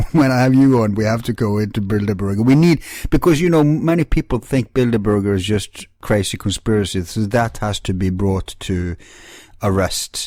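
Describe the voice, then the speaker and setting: A man with a non-native accent speaks at a fairly low pitch in a dark, mellow tone, with lively intonation at a moderate pace, in a very clean recording with a silent background. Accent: non-native, self-described as weird. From Norway. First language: Norwegian. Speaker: talk show host. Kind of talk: interview conversation.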